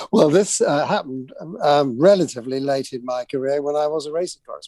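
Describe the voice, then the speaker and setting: A man speaks very fast in a fairly high voice, with a dark, mellow tone. His loudness swings widely while his pitch varies in an ordinary way. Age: 70s. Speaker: journalist. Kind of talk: radio interview. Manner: hesitant, many fillers.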